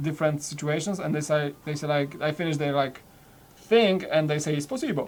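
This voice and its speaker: At a fairly quick pace, a man with a Polish accent and a fairly high pitch speaks with fairly even intonation. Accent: Polish accent, noticeable. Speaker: toy building live streamer. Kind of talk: casual chat.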